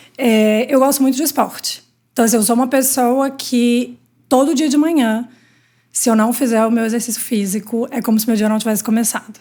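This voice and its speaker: A woman's high-pitched voice in a Minas Gerais accent, dark and mellow in tone, with fairly even intonation at a fairly quick pace. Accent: Minas Gerais (mineiro). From Minas Gerais, Brazil. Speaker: healthcare industry executive. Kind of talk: interview.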